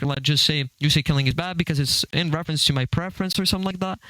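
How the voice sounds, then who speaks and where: Over noticeable background noise, a man with a fairly high pitch speaks very fast with lively intonation. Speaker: online debater. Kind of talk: heated debate. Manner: stuttering.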